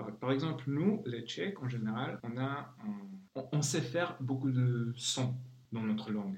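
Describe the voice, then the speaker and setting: Speaking in a Czech accent at a fairly slow pace, a man has a medium pitch, a somewhat breathy voice and ordinary pitch variation. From Czech Republic. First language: Czech (speaking French). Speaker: translator. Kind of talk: interview.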